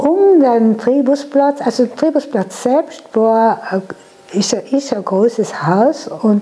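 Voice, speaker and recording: A woman with a fairly high pitch and lively intonation speaks at a very slow pace. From Lana, South Tyrol, Italy. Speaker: contemporary witness. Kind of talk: interview answer. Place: home room. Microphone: lapel.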